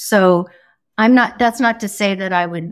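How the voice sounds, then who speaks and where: This recording is very clean, and the background is silent. It carries an unremarkable speaking voice at a fairly slow pace with ordinary pitch variation. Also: woman. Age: 60s. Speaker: interior design executive. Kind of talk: interview.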